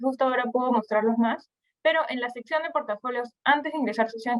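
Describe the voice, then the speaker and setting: A woman speaks at a high pitch in a Peruvian accent. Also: dry, close sound with no echo. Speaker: investment platform presenter. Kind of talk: webinar presentation. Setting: online webinar. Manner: halting.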